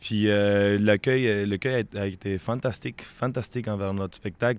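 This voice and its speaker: Heard in a Quebec accent, a man speaks at a moderate pace in a fairly low pitch. His intonation stays fairly even. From Peru. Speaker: street performer. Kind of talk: interview.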